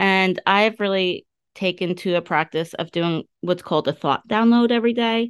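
A woman with a normal speaking voice and medium pitch talks at a moderate pace with ordinary pitch variation. The background is quiet. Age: 50s. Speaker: life coach. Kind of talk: solo podcast monologue. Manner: casual with many fillers.

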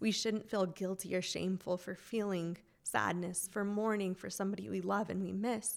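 A woman's medium-pitched voice at a moderate pace, with fairly even intonation, an ordinary speaking voice, and an American accent. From Reno, Nevada, US. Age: 20s. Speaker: church member sharing personal story. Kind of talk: testimony.

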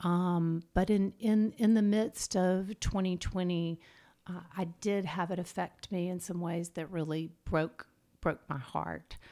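Slowing to a very slow pace, a woman speaks in a dark, mellow tone at a fairly low pitch with fairly even intonation. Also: very clean recording, silent background. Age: 50s. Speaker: licensed therapist. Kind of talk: casual chat.

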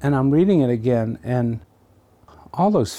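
Over a silent background in a very clean recording, a man speaks with a dark, mellow tone and lively intonation. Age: 70s. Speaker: poet and writing teacher. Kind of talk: personal interview, reading a poem aloud and reminiscing. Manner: animated, candid, sometimes halting.

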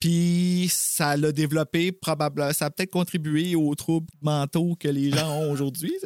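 With a Quebec accent, a man talks at a fairly slow pace with hardly any pauses, and the sound is dry and close with no echo. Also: fairly high pitch for a man, very even loudness. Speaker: podcast co-host. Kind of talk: casual chat. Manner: animated.

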